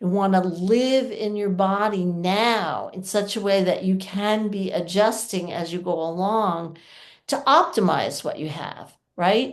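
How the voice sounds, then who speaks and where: Audible room echo surrounds a woman speaking at medium pitch with ordinary pitch variation. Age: 60s. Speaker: yoga teacher and pelvic floor presenter. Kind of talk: workshop talk with Q&A. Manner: casual, conversational.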